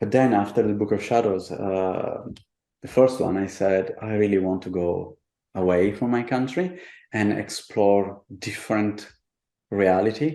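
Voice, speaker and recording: In an Italian accent, a man talks at a fairly slow pace with a fairly low pitch and a dark, mellow tone. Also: ordinary pitch variation. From Italy, childhood partly in Buenos Aires. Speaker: artist and tarot deck designer. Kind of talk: interview. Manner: halting.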